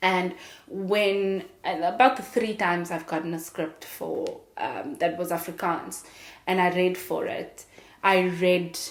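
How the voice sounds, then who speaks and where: The woman talks at a very slow pace and a medium pitch with fairly even intonation. Audible room echo surrounds her voice. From South Africa, small town outside Cape Town. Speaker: actress and podcast host. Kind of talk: casual monologue. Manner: conversational, with fillers and repetitions.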